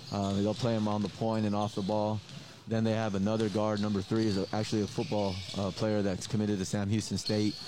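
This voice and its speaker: The speech comes at a fairly quick pace with monotone, flat intonation. Noticeable background noise runs underneath. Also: man. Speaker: basketball head coach. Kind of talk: interview. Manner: halting, filler-heavy, casual.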